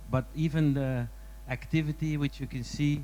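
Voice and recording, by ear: A man speaks at a moderate pace. His pitch is fairly high, with fairly even intonation.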